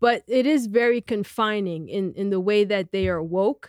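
On a very clean recording with a silent background, a woman with an American accent speaks in an unremarkable speaking voice at a medium pitch with ordinary pitch variation. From United States. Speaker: podcast host. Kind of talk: interview.

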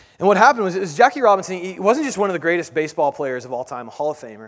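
A man speaks with lively intonation. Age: 30s. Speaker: pastor. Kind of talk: sermon. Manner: halting.

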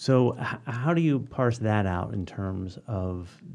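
With an American accent, a man speaks at a fairly low pitch in a dark, mellow tone. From Philadelphia, US. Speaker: podcast host, university dean. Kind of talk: interview; scripted intro. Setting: studio.

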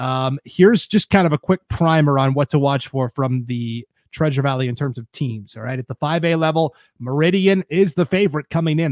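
In a plain, everyday voice, a man with a fairly high pitch and ordinary pitch variation speaks at a moderate pace with hardly any pauses. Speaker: podcast host. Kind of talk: casual sports podcast discussion. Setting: live-streamed studio broadcast.

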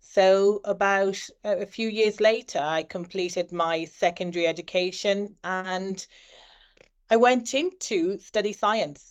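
A woman with an Irish accent speaks at a medium pitch and fairly slow pace, her intonation fairly even, over a quiet background. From Ireland, of Nigerian parents. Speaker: surgeon and medical educator. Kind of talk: interview.

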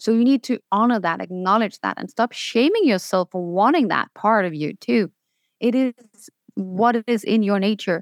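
A woman with a Danish accent sounds enthusiastic and upbeat at a fairly high pitch with ordinary pitch variation, recorded very clean on a silent background with a dry, close sound and no echo. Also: moderate pace. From Denmark. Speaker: spiritual business coach. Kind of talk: interview. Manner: enthusiastic, upbeat.

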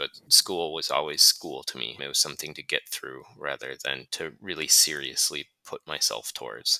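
A man with an American accent at a moderate pace, in a dry, close sound with no echo. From Minnesota, US (Duluth). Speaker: travel journalist, editor. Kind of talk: interview, casual chat.

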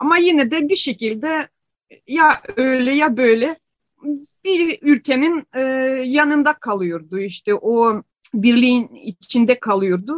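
A woman speaks with a Ukrainian accent. Her intonation is lively. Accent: Ukrainian-accented Turkish. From Ukraine. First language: Ukrainian (speaking Turkish). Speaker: Ukrainian expatriate. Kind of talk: interview. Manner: halting.

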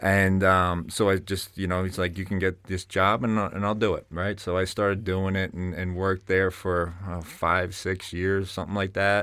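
A man with a New Jersey accent speaks at a moderate pace with hardly any pauses, his pitch very deep and low. His tone is bright and sharp, and his intonation stays monotone and flat. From North Jersey, Bergen County. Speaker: fitness business founder and strength coach. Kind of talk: interview conversation. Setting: studio.

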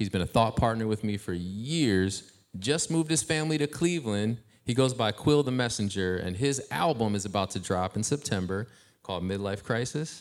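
A man with an American accent speaks at a moderate pace in an ordinary speaking voice, his pitch medium and his intonation lively. The recording is very clean, with a silent background. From Ohio. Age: 40s. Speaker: hip-hop artist and youth mentor. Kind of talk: casual interview on stage. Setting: stage with live audience.

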